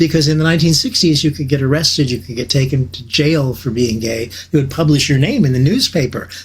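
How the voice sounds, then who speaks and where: A man's fairly high, somewhat breathy voice with an American accent, at a very fast pace with ordinary pitch variation. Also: hardly any pauses. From US Midwest, small town in Illinois. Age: 70s. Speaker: host. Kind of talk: talk to a video meeting audience. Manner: halting, with many repeated words.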